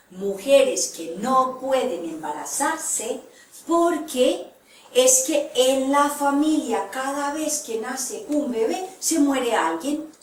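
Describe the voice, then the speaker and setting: A woman's high-pitched voice, very slow, with very wide pitch swings and audible room echo. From Colombia. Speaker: therapist and lecturer. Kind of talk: lecture.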